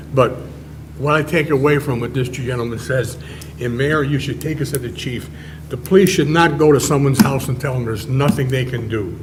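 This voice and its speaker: A man talks at a fairly quick pace. Room echo is audible, along with noticeable background noise. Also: medium pitch for a man, ordinary pitch variation. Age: old. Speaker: council member. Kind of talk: city council meeting discussion. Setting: council chambers.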